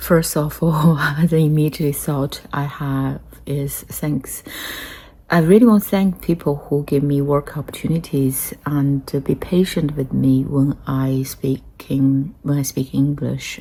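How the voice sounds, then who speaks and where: Fairly slow, somewhat breathy speech in a dark, mellow tone, with a strong Chinese accent and fairly even intonation. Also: woman, very deep, low pitch for a woman. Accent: heavy Chinese accent in English. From China. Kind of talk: casual talk to camera. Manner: hesitant, many fillers.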